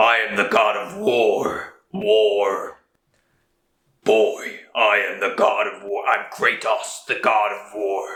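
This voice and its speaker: In a gruff, put-on character voice, a man speaks at a very slow pace. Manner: gravelly, intimidating.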